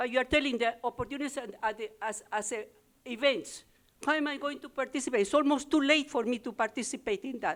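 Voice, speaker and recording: A woman talks at a very fast pace. Her pitch is high, with ordinary pitch variation. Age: 80s+. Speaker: small business owner. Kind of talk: public comment at town hall. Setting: town hall meeting room with audience. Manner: halting.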